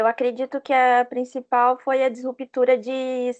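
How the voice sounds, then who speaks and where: A woman talks in a high voice at a fairly slow pace. The sound is dry and close with no echo, over a quiet background. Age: 30s. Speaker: software project manager. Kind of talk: interview.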